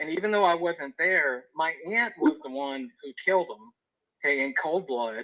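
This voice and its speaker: A man speaks at a moderate pace with ordinary pitch variation in a plain, everyday voice. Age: 40s. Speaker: podcast guest. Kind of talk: personal testimony. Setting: phone call.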